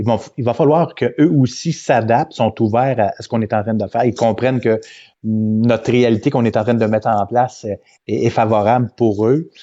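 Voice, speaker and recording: A man at a moderate pace with fairly even intonation. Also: medium pitch for a man. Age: 50s. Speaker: events company president. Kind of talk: interview. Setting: live video stream. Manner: halting, many repetitions.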